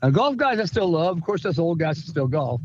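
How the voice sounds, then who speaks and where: In an ordinary speaking voice, a man talks at a fairly quick pace with a fairly high pitch. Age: 60s. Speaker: steel supplier in motorsport. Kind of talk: casual chat.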